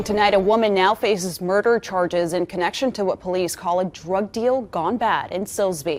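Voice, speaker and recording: With hardly any pauses, a woman speaks at a moderate pace in a plain, everyday voice of medium pitch and ordinary variation. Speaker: TV news anchor and reporter. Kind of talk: studio anchor read of news headlines.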